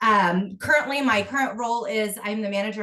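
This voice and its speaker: A woman with an American accent at a fairly quick pace, ordinary pitch variation, and noticeable background noise. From Kansas City area, Missouri. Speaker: school board candidate. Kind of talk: candidate forum statement.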